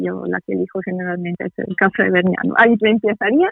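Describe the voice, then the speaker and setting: A woman speaks in an Italian accent with fairly even intonation. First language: Italian (speaking Spanish). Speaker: tour guide. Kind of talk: interview. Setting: phone call. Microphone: poor connection.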